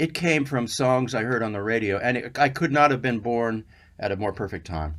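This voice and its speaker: The recording is very clean, with a silent background. A man at a medium pitch speaks at a moderate pace with lively intonation. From US Southwest, Albuquerque, New Mexico. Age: 60s. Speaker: session guitarist. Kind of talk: interview. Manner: halting.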